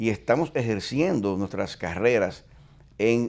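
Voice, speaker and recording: Using lively intonation with vocal fry, a man of medium pitch talks at a fairly slow pace. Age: 60s. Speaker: retired police chief. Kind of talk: interview.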